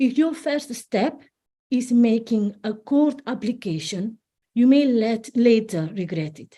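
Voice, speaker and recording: A dark, mellow tone with lively intonation at a very slow pace, in a Spanish accent. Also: woman, fairly high pitch for a woman. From Spain. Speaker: family law solicitor and divorce coach. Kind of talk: online presentation. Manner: halting with some self-corrections.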